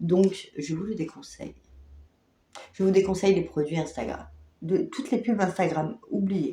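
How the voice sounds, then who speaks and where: A woman talks with lively intonation at a medium pitch. Her voice is somewhat breathy, and she leaves long, frequent pauses. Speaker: beauty vlogger. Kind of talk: casual product review vlog. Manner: hesitant with many fillers.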